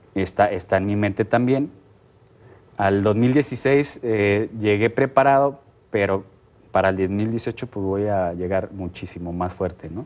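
A man with a fairly low pitch at a very slow pace. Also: ordinary pitch variation. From Mexico. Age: 30s. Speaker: triathlete; guest. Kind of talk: TV interview.

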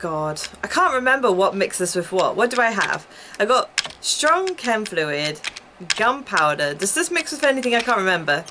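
A woman at a moderate pace amid noticeable background noise. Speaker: gaming streamer. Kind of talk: casual gameplay commentary. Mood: chatty, a bit flustered. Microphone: headset.

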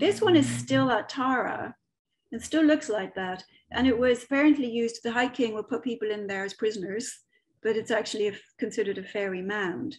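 Talking at a fairly quick pace, a woman with a Dublin accent uses a fairly high voice, lively intonation and big swings in loudness. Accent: Irish (Dublin). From Ireland, Dublin. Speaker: medium and author giving a talk. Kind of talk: online presentation with slides. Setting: video call. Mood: relaxed storytelling. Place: home room. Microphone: webcam.

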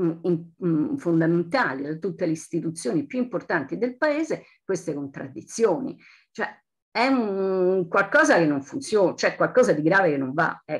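A woman with a fairly low pitch talks at a moderate pace, her pitch swinging very widely, over a quiet background. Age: 60s. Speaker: audience member at a lecture. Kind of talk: audience comment in lecture Q&A. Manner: halting, with many fillers and restarts; impassioned. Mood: concerned, earnest. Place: home room. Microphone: video call.

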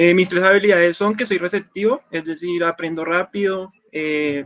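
A man speaks with a fairly high pitch and fairly even intonation. The background is quiet. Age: 20s. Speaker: student. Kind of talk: mock job interview. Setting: video call. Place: home room. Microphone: video call.

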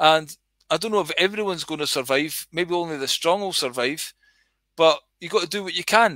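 Against a quiet background, a man with a Scottish accent talks fairly quickly in a high, bright, sharp voice, with ordinary pitch variation and a dry sound free of echo. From Scotland. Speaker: livestreamer. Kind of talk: casual rambling livestream. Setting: online livestream. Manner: rambling, casual, sweary. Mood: earnest, exhorting. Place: home room. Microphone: headset.

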